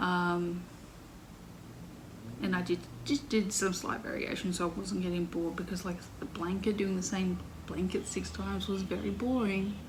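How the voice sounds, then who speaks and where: A woman with an Australian accent at a moderate pace, long, frequent pauses, noticeable background noise and audible room echo. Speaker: crochet podcaster. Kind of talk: casual chat.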